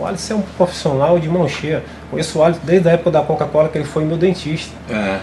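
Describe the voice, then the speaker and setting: A man talks rather briskly while clear background noise carries on behind him. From Acre, Brazil (Cruzeiro do Sul, Juruá region). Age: 40s. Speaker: former state health secretary. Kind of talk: interview. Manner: halting, with repetitions.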